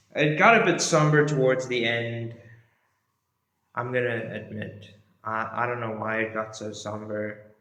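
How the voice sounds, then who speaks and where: A man at medium pitch, fairly slow pace and ordinary pitch variation, with audible room echo. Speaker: history youtuber. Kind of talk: casual monologue to camera. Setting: indoors in a room. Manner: casual, filler-heavy.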